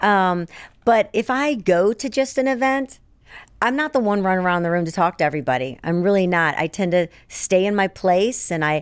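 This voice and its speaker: A normal speaking voice with lively intonation moves at a moderate pace in a very clean recording against a silent background. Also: woman. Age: 60s. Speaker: publisher and radio personality. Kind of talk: casual chat.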